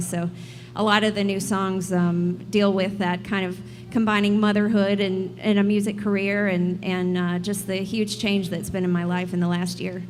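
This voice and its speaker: Audible room echo surrounds a woman speaking with a Southern US accent. She keeps a moderate pace and fairly even intonation. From South Carolina upstate. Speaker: singer-songwriter. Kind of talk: live radio interview. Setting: live music venue with audience.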